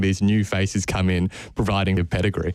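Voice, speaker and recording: A man with a fairly low voice and an Australian accent, on a very clean recording with a silent background. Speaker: football radio host. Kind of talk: casual chat.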